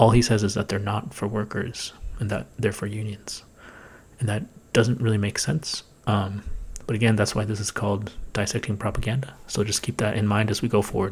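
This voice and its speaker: A quiet, somewhat breathy man at fairly low pitch, fairly quick, with fairly even intonation. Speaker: political commentary youtuber. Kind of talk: commentary on a played video. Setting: home recording, thin walls. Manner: fast.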